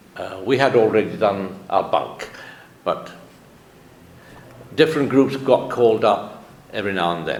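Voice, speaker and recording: A man at medium pitch and moderate pace, lively in intonation, with long, frequent pauses, noticeable background noise and audible room echo. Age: 70s. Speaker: author. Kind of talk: interview.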